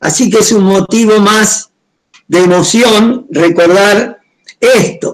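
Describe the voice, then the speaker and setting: A man speaks in a high pitch. His pace is very slow. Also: very even loudness. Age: 70s. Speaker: pastor. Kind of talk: testimony. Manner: halting.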